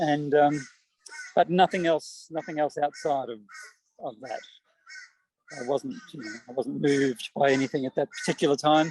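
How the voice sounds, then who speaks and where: A man with an Australian accent speaks at a moderate pace, taking long, frequent pauses. His loudness swings widely, and the sound is dry and close with no echo. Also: fairly high pitch for a man, ordinary pitch variation. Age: 60s. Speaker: poet. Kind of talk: interview. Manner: halting, many repeated words.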